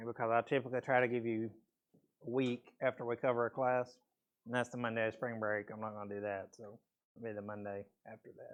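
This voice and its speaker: Speaking at a very fast pace, a man with a medium pitch keeps a monotone, flat intonation. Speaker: math teacher. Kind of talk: lecture. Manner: casual.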